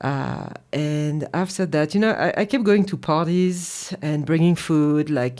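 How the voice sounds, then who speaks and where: A woman's very deep, low voice with a dark, mellow tone, in a French accent, at a fairly slow pace. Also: ordinary pitch variation. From France. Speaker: chef and business owner. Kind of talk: interview. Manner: hesitant, with fillers.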